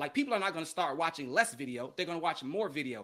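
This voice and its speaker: A man with an American accent speaks in a bright, sharp tone, his pitch swinging very widely. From Chicago, US Midwest. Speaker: educational media consultant, former TV sports journalist. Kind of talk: interview.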